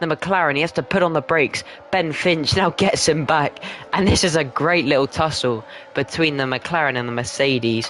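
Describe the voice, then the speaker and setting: A man with a fairly high voice speaks at a moderate pace, with ordinary pitch variation, very even loudness and noticeable background noise. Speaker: sim racing commentator. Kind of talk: live commentary.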